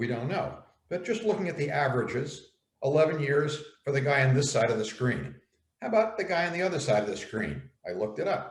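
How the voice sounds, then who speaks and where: At a very fast pace, a man with an American accent speaks at a fairly high pitch with very wide pitch swings and vocal fry, amid audible room echo. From US, New York. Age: 70s. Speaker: elder writer on aging. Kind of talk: dialogue. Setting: video call.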